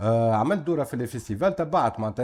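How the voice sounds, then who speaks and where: A man with a Tunisian accent talks at a very fast pace. His medium-pitched voice moves in very wide pitch swings. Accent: Tunisian Arabic with French code-switching. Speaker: festival organizer, TV panelist. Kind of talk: casual talk show chat. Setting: studio.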